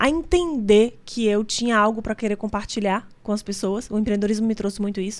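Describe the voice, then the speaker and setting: Fairly high in pitch, a woman talks at a fairly quick pace with ordinary pitch variation. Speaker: entrepreneur and business association leader. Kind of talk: interview.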